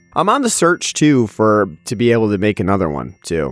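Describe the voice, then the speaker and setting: With music in the background, a man speaks at a fairly low pitch, the sound dry and close with no echo. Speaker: podcast host. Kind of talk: casual chat.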